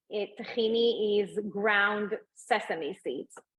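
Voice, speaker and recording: A woman speaks with an Israeli accent. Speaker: food entrepreneur and mom. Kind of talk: interview. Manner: hesitant, many fillers.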